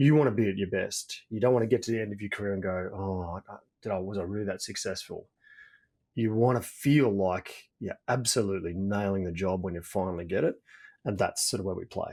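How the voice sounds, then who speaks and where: In an Australian accent, a man talks at a fairly quick pace with fairly low pitch and ordinary pitch variation. The recording is very clean, with a silent background. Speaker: executive coach. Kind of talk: podcast interview. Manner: repetitive false starts.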